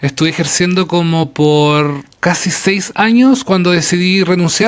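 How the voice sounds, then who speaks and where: Speaking with a Chilean accent, a man talks at a fairly slow pace in a high pitch, with ordinary pitch variation and very even loudness. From Chile, Patagonia (Punta Arenas, Magallanes). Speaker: English teacher and traveler. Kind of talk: interview conversation. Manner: hesitant, many fillers.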